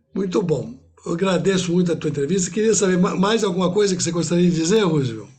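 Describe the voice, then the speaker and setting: Very fast speech from a man with a high pitch, ordinary pitch variation and very even loudness. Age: 70s. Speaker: interviewer. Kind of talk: interview.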